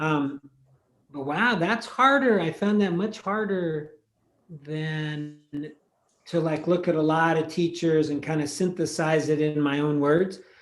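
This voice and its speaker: In a room with audible echo, a man speaks at a fairly high pitch and a fairly slow pace, with ordinary pitch variation. His pauses are long and frequent. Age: 60s. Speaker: meditation teacher. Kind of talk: casual chat; guided meditation. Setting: video call.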